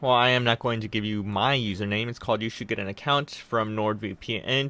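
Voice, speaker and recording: Here is a man with a medium pitch. He talks at a fairly quick pace. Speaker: tech YouTuber. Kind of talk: casual chat. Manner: fast.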